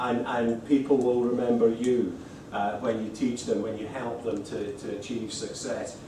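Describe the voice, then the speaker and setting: With a Scottish accent, a man of medium pitch speaks at a moderate pace and fairly even intonation, amid audible room echo and noticeable background noise. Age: 50s. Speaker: accounting lecturer and exam body representative. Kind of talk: presentation to lecturers. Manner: halting, many repetitions.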